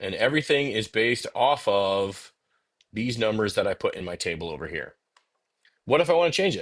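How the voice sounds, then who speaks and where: Against a quiet background, a man talks at a fairly quick pace with long, frequent pauses and big swings in loudness. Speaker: CAD software instructor. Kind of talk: tutorial. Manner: fast.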